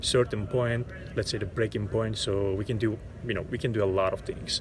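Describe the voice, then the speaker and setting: A man with a Turkish accent speaks in a somewhat breathy voice. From Turkey. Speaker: actor. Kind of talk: interview monologue. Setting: outdoors in a park. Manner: halting, many repetitions and fillers.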